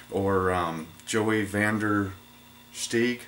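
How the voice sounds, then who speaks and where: With monotone, flat intonation, a man talks through noticeable background noise and audible room echo. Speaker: knife maker and YouTuber. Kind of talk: casual talk to camera. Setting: workshop. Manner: halting, with fillers and repeats.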